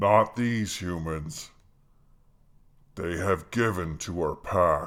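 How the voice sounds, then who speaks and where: A man speaks in a put-on character voice with a growl. His pitch is very deep and low, and his pace is very slow. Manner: growling, stern, commanding.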